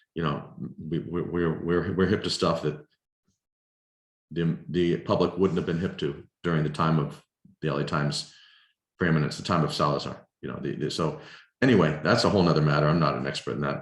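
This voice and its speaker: Speech comes at a fairly quick pace with vocal fry and ordinary pitch variation, broken by long, frequent pauses. Room echo is audible. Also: man, very deep, low pitch for a man. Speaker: filmmaker. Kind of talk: lecture Q&A over video call. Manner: halting, many repetitions.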